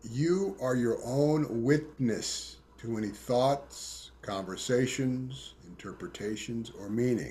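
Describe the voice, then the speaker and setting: Speaking at a very slow pace, a man with a medium-pitched, somewhat breathy voice uses ordinary pitch variation. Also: hardly any pauses. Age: 60s. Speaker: tantra and intimacy teacher. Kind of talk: interview.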